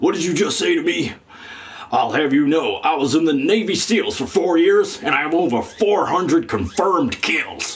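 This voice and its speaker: Doing a put-on character voice with a high pitch, a man speaks at a moderate pace over light background noise. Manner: boastful, aggressive.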